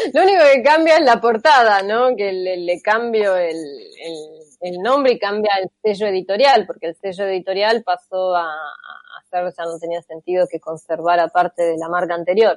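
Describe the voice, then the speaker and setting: A woman with an Argentine accent, lively intonation, big swings in loudness and a moderate pace, in a dry, close sound with no echo. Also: medium pitch for a woman. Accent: Rioplatense Argentine Spanish. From Argentina. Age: 40s. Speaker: theoretical computer scientist and author. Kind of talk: interview.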